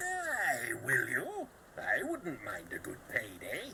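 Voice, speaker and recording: A man does a put-on character voice at a very slow pace over clear background noise. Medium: video game. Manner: joking, brash.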